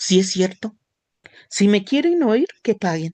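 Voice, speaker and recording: The sound is dry and close, with no echo. A woman speaks at a medium pitch. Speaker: church class teacher. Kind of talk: religious class lesson.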